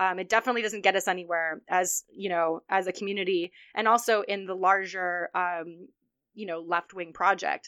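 A woman's medium-pitched voice, monotone and flat in intonation, at a moderate pace. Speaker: podcast host. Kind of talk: casual chat. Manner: casual, chatty.

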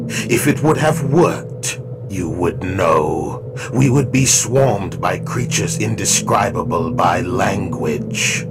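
Loud background noise sits behind a man doing a put-on character voice. He speaks at a fairly slow pace. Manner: calm, formal, fatalistic.

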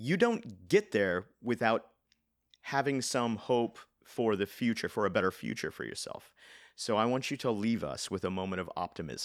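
Recorded very cleanly with a silent background, a man with an American accent and medium pitch uses an ordinary speaking voice at a moderate pace. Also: ordinary pitch variation. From Nebraska and rural Kansas, then California from age 12. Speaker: podcast host. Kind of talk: interview.

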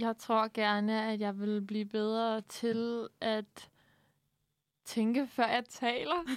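Fairly even intonation at a very slow pace, in a dry, close sound with no echo and a very clean recording with a silent background. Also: woman, fairly high pitch for a woman. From Southern Jutland, Denmark. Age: 20s. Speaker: university student, radio guest. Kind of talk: casual chat. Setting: studio.

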